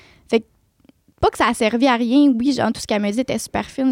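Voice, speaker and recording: A woman with a fairly high pitch talks at a very fast pace. Her intonation stays fairly even. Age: 20s. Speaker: nail technician and esthetician. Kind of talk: testimony.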